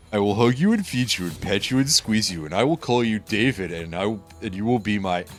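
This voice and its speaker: A man does a put-on character voice, pitched fairly low, at a fairly quick pace with hardly any pauses. Clear music plays in the background. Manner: dopey, affectionate.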